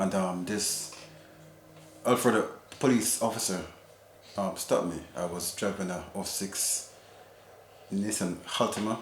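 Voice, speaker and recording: At a moderate pace, a man with a fairly low pitch and fairly even intonation speaks with long, frequent pauses, amid noticeable background noise and audible room echo. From Jamaica. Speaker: husband sharing his experience. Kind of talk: personal testimony in casual interview. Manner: halting, many fillers.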